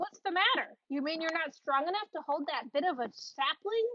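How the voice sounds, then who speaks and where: Her pace is moderate. The woman puts on a character voice pitched extremely high. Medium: read story. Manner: gruff, scornful.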